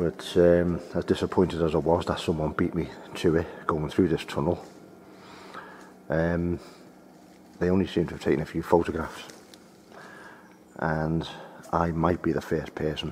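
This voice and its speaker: Over light background noise, a man with a very deep, low voice talks at a moderate pace in a flat monotone, leaving long, frequent pauses. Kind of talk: casual vlog commentary. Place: waterside. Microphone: phone near.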